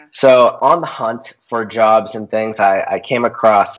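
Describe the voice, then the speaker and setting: A man talks in a normal speaking voice. His pitch is medium and his intonation fairly even. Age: 20s. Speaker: productivity consultant. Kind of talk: interview.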